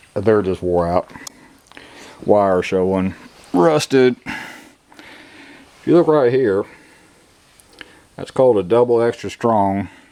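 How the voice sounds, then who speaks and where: Background noise is noticeable throughout. The delivery is very slow. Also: man. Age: 60s. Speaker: farmer. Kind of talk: casual tutorial vlog. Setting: outdoors at farm. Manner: casual, plainspoken.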